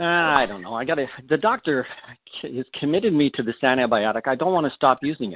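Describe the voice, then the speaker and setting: A man rattles along at a very fast pace, his fairly high voice carrying lively intonation. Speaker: product expert caller. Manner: halting, filler words.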